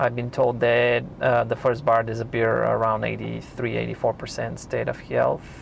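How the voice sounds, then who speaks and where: A man with a non-native accent, talking with hardly any pauses. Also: moderate pace. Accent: foreign accent, self-noted. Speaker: YouTube car reviewer. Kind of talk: tutorial. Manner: halting.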